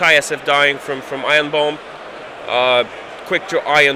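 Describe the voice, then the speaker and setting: A man with a slight Polish accent and fairly high pitch, at a moderate pace, with noticeable background noise. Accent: slight Polish accent, almost native English. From Poland. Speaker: tabletop game player. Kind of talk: post-game interview. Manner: halting, repeats words.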